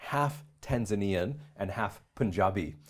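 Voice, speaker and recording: This man has an unremarkable speaking voice with a Canadian accent, a fairly low pitch and lively intonation, on a very clean recording with a silent background. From Canada, Calgary. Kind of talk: interview testimony.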